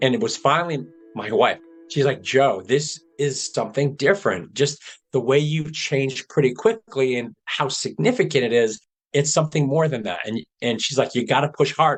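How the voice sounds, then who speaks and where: Vocal fry runs through this man's fairly high-pitched voice, which has lively intonation and a moderate pace. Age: 60s. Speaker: patient with early-onset Alzheimer's. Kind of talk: personal testimony.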